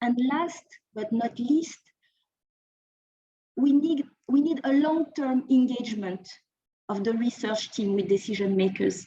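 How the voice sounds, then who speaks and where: A woman with a French accent speaks at a fairly slow pace in a high voice, her intonation lively and her pauses long and frequent. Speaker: think tank researcher. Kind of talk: conference presentation. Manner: halting, with frequent repetitions.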